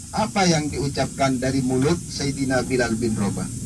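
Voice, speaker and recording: Against noticeable background noise and audible room echo, a man talks at a fairly slow pace with ordinary pitch variation. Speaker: pilgrimage tour guide. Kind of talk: guided tour talk. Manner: halting.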